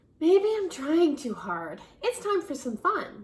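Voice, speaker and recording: This woman is putting on a character voice. It sits at an extremely high pitch. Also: fairly slow pace. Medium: read story.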